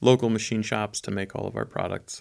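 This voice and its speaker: Over a very clean recording with a silent background, a man with an American accent talks in an unremarkable speaking voice, fairly low in pitch, with fairly even intonation. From southern Germany, near Stuttgart (American missionary kid). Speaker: business co-founder, graphic designer. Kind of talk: interview.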